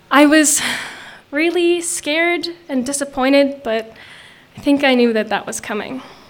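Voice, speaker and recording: A woman's high-pitched voice with ordinary pitch variation, moderate pace and long, frequent pauses, amid noticeable background noise and audible room echo. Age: young. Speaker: storyteller. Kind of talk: storytelling on stage. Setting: outdoor stage with audience.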